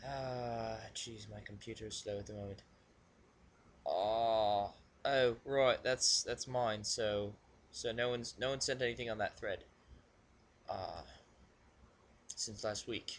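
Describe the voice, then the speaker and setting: A man with a British accent, very slow and flat in a monotone, medium in pitch, with long, frequent pauses. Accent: put-on British accent (self-described as bad). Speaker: video blogger reading submissions. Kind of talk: casual solo recording. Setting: home alone at computer. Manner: halting, filler-heavy.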